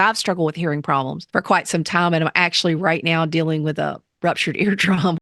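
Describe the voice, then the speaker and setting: Fairly low-pitched woman's voice in a Southern US accent, fairly even intonation, dry, close sound with no echo and a quiet background. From US South. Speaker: teacher and podcast host. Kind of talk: interview.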